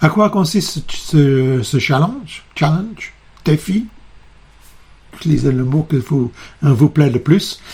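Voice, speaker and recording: Somewhat breathy with a dark, mellow tone, a man speaks at a very slow pace and fairly high pitch, using lively intonation. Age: 60s. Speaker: psychotherapist. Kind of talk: video presentation. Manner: halting, many hesitations.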